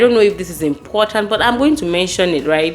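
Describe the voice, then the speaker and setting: Music plays in the background as a woman speaks with a Nigerian accent. Her pitch is medium. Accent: Nigerian, largely kept. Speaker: lawyer and career advice vlogger. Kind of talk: advice talk to camera. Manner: conversational, with fillers and restarts.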